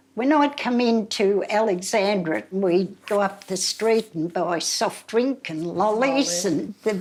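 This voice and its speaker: A woman with an Australian accent talks at a very slow pace, her medium pitch showing ordinary variation. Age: 90s. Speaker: elderly local resident. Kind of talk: interview reminiscence.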